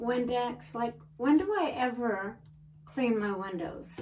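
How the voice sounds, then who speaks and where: Very slow speech over noticeable background noise. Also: woman. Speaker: home vlogger. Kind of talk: casual vlog chat. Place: bathroom. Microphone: camera far.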